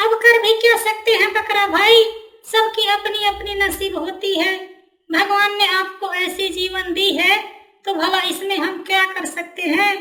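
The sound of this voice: A cartoonish character voice at an extremely high pitch moves at a moderate pace.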